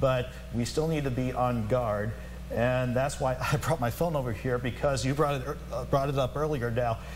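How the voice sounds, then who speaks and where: Speaking at a moderate pace, a man is heard with noticeable noise in the background. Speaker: TV meteorologist. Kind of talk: live TV weather forecast.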